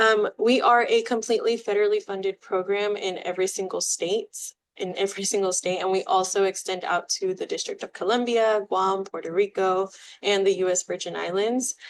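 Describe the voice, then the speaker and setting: A woman at medium pitch talks at a fairly quick pace in a monotone, flat intonation against a quiet background. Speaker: outreach specialist presenting on Medicare fraud. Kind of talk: educational presentation.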